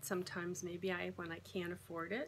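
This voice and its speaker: Against noticeable background noise, a woman speaks with a fairly low pitch. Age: 60s. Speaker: vlogger on weight loss and keto. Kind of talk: personal vlog monologue. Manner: halting, with frequent restarts.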